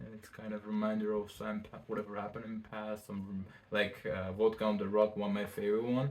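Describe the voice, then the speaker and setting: A man's fairly low, monotone voice with a non-native accent, a very fast pace and big swings in loudness. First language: not English. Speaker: fashion designer. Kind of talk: casual interview chat. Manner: halting.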